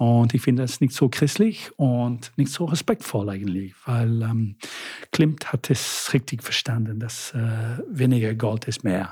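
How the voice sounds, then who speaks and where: A man with an English accent speaks at medium pitch in a dark, mellow tone. He is somewhat breathy, fairly slow, and uses ordinary pitch variation. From Britain. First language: English (speaking German). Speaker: city tour guide. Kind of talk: casual interview. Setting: living room. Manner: halting.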